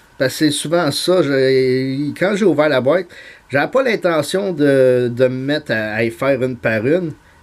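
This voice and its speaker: In a very clean recording with a silent background, a man with a Montreal accent speaks at a fairly slow pace, medium in pitch, with lively intonation. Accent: Montreal Quebec French. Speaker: YouTuber, card collector. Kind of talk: casual vlog monologue. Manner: halting, many fillers.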